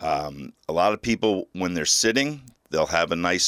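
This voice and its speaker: A man's normal speaking voice, fairly low-pitched, at a moderate pace, in a very clean recording with a silent background and dry, close sound with no echo. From New Jersey. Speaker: podiatrist. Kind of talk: radio interview.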